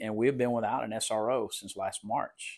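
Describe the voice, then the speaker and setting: A man speaks with a South Texas accent. His pitch is medium and his intonation fairly even. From Texas Coastal Bend. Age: 60s. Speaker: police chief. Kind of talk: interview. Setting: remote recording.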